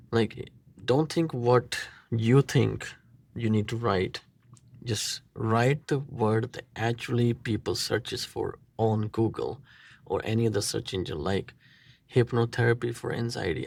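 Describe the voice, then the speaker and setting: Here a man of medium pitch talks at a fairly slow pace with a non-native accent. His voice is somewhat breathy, and the recording is very clean with a silent background. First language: not English. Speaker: marketing agency owner. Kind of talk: tutorial; sales pitch. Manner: casual, halting.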